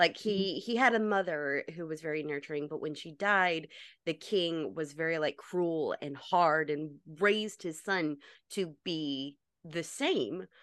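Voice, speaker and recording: A woman with an American accent and an unremarkable speaking voice talks at a fairly slow pace with fairly low pitch and ordinary pitch variation, against a quiet background. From North Carolina. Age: 30s. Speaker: actress and cosplayer. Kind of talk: casual chat.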